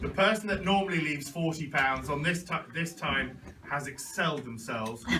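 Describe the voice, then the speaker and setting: Amid noticeable background noise, a man with a fairly high pitch and ordinary pitch variation speaks at a moderate pace. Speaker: auctioneer. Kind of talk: casual banter with the room.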